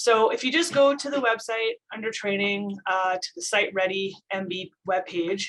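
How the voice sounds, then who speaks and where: Talking at a moderate pace with hardly any pauses, a woman with an unremarkable speaking voice and a medium pitch shows ordinary pitch variation. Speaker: safety trainer. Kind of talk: tutorial.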